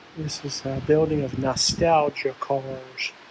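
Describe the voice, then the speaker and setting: A man speaks at a fairly high pitch in a monotone, flat delivery. Noticeable background noise runs under the recording. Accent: American. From South Carolina. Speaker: travel vlogger. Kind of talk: casual vlog commentary. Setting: indoor auto museum. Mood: delighted, admiring. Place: hall. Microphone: phone near.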